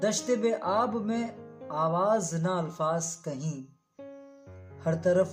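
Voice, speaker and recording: Over music in the background, a woman's voice moves in very wide pitch swings. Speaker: radio presenter, voice-over artist. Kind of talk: poetry reading.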